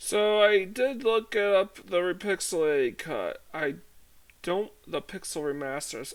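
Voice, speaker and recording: A quiet man speaks with ordinary pitch variation on a very clean recording with a silent background. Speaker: gaming video creator. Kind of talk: casual gameplay commentary.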